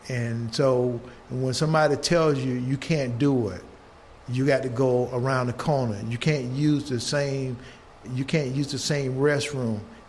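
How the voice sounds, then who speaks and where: A man with an American accent at a fairly slow pace, fairly even intonation and audible room echo. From US South. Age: 70s. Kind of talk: intergenerational conversation.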